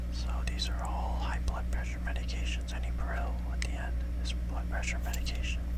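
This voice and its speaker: A whisper at a moderate pace, with noticeable background noise. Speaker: pharmacy technician trainee. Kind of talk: ASMR study-with-me whisper. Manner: whispered.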